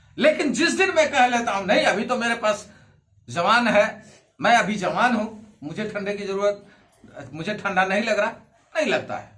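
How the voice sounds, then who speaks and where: With audible room echo around him, a man speaks at a high pitch. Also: ordinary pitch variation. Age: 60s. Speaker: pastor. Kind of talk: sermon.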